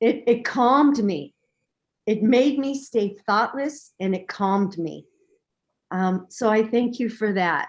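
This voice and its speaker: With lively intonation and a fairly high pitch, a woman speaks at a very slow pace. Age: 60s. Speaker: meditation participant. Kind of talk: testimony.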